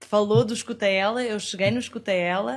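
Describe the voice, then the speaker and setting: The speaker has a European Portuguese accent. The pace is fairly quick. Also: woman. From Portugal. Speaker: podcast guest. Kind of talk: casual interview chat.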